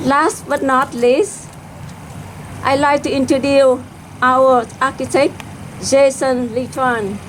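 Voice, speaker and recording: Speaking very slowly in a Vietnamese accent, a woman uses a high voice with ordinary pitch variation and long, frequent pauses, while noticeable background noise carries through. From South Vietnam. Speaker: community organization leader. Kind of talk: ceremony speech. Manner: halting.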